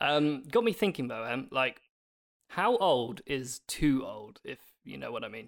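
A man with a British accent, lively intonation and big swings in loudness. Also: fairly high pitch for a man, fairly slow pace. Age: 30s. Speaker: podcast co-host and celebrity interviewer. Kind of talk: casual chat.

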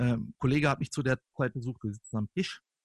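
A fairly quick pace with ordinary pitch variation, in a dry, close sound with no echo. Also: man. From northern Germany, Lippe (Kalletal). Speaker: podcast guest. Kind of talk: casual chat. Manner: animated.

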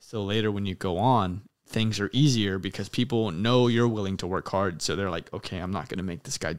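In a very clean recording with a silent background, a man with an American accent speaks at a fairly quick pace. His fairly low voice is a normal speaking voice with ordinary pitch variation. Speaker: podcast host and military air traffic controller. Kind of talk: casual chat. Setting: in-person recording with camera.

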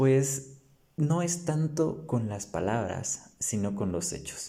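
A man talks at a very slow pace with a dark, mellow tone. His pitch makes very wide swings. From Guatemala, San Marcos. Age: 20s. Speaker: theology student. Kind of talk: casual chat.

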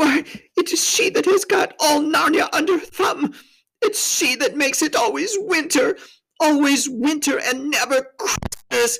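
This put-on character voice has a fairly bright tone and vocal fry. Its pitch varies in an ordinary way. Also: fairly slow pace.

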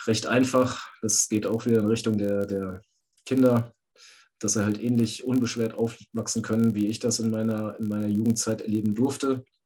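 Dark, mellow tone from a man at a medium pitch, moderate pace and flat, monotone intonation. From Hesse. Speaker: caller, father. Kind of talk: testimony.

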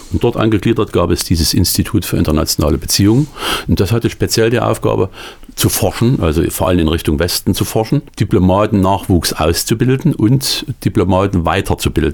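A man with a very deep, low voice speaks fairly quickly with lively intonation and very even loudness. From Thuringia, eastern Germany. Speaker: author and former diplomat. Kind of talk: radio interview. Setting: radio studio. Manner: halting.

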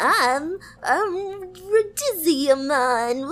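The voice is a put-on character voice. Its pitch is high. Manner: cute, high-pitched.

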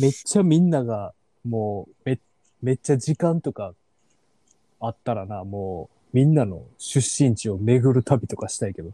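In an Osaka accent, a man speaks at a moderate pace and a medium pitch, his tone dark and mellow, with very wide pitch swings and big shifts in loudness. The recording is very clean and dry, close with no echo and a silent background. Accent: Osaka Kansai dialect. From Osaka city, Japan. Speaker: podcast host. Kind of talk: casual chat.

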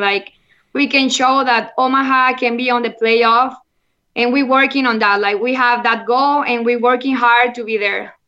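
This woman has a high-pitched voice with a bright, sharp tone and a monotone, flat delivery. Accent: Mexican. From Monterrey, Mexico. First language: Spanish. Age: 30s. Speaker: football player. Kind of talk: interview chat. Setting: remote call from Mexico. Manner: halting, non-fluent English.

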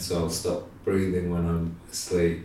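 Audible room echo surrounds a man's very deep, low voice. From English Midlands. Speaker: painter. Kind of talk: casual chat. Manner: hesitant, many ums.

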